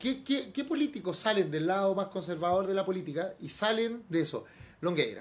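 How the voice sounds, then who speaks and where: A man with a Chilean accent at a fairly quick pace. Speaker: radio host. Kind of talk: casual chat.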